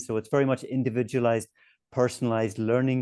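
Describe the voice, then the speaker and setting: A man speaks very fast in a strong Northern Irish accent, his pitch medium. His tone is dark and mellow, his intonation flat and monotone. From Northern Ireland. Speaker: webinar host, education publisher representative. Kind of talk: webinar discussion.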